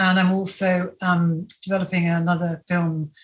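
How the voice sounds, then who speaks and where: A woman speaks with a fairly low pitch and a somewhat breathy voice. Her intonation is fairly even. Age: 50s. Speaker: film director. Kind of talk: interview.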